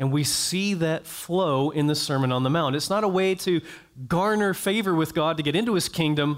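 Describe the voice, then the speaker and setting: An unremarkable speaking voice moves at a moderate pace with ordinary pitch variation. Its loudness stays very even. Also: man, fairly high pitch for a man. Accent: American. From US South, North Florida (Jacksonville). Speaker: pastor. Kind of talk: sermon.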